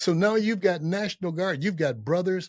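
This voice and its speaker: A man speaks with an American accent. The sound is dry and close with no echo, over a quiet background. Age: 70s. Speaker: podcast host, army veteran. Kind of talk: political commentary monologue. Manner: impassioned.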